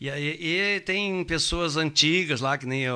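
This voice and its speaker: Very slowly, a man speaks in a bright, sharp tone. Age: 70s. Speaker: radio host. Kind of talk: casual chat. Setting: at a private home. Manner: halting.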